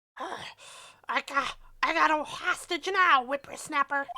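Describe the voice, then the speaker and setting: A female-sounding, put-on character voice speaks at a moderate pace and a high pitch. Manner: cranky, threatening.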